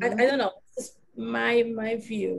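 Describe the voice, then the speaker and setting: A woman with a Brazilian Portuguese accent speaks in a somewhat breathy voice at a fairly high pitch. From Brazil, Rio de Janeiro. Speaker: knitting designer and teacher; teacher. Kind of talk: casual interview chat. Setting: video call. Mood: thoughtful, reflective. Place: home room. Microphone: video call.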